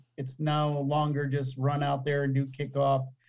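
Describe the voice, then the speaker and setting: This man has an American accent and a fairly high pitch. His tone is dark, mellow, and somewhat breathy. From US, Buffalo New York (teen years in Arizona). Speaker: American football special teams coach. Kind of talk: interview.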